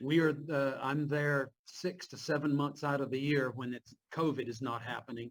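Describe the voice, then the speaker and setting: Speaking in a Southern US accent at a moderate pace, a man with a fairly high pitch keeps his intonation fairly even and leaves hardly any pauses. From Virginia, US. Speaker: Bible professor. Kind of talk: class Q&A chat. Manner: halting.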